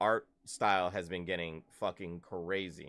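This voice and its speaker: In a very clean recording with a silent background, a man speaks at a very slow pace in a very deep, low pitch. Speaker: gaming streamer. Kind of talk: live stream chat. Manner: animated; loud.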